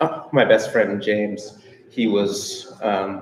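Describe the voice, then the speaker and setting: A man talks with a fairly low pitch. His intonation is fairly even, and there is noticeable background noise. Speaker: musician. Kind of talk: panel discussion. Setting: audience in a circle, unamplified. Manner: halting, repetitive.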